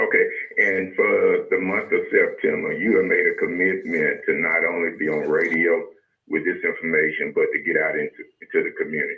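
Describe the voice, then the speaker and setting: Speaking at a fairly quick pace, a man talks in a Mississippi accent. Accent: US Southern, Mississippi. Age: 60s. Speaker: radio host. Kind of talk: radio talk show.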